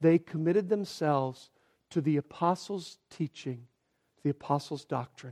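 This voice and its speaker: A quiet voice at a moderate pace, with ordinary pitch variation. The sound is dry and close, with no echo. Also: man. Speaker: pastor. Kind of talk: sermon. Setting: church. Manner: trying to speak quietly.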